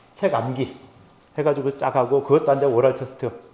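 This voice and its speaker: Somewhat breathy and dark, mellow in tone, a man speaks at medium pitch and a fairly quick pace. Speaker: professor. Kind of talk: lecture. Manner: fast.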